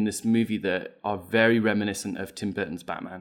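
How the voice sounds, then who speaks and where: Speaking with a British accent, the man holds a medium pitch and a moderate pace. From Britain. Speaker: podcast guest. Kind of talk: casual chat.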